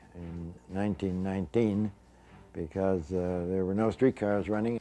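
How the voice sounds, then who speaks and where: Over music in the background, a man with a fairly low pitch talks at a moderate pace with fairly even intonation. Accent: Canadian. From Winnipeg, Canada. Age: 70s. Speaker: author and former newspaperman. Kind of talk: interview reminiscence.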